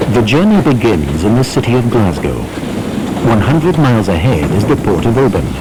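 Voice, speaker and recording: The pace is fairly quick, with very wide pitch swings. Background noise is noticeable. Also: man. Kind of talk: documentary narration.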